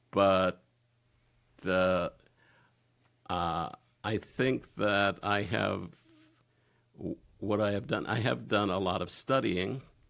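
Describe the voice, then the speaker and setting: Fairly low in pitch and marked by vocal fry, a man talks at a very slow pace with lively intonation and long, frequent pauses. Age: 60s. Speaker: interview guest on sex podcast. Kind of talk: casual interview. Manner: halting, many fillers.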